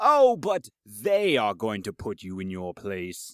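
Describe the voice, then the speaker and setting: Someone uses a put-on character voice with a low pitch at a fairly slow pace. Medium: audio drama. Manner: formal, slightly smirking.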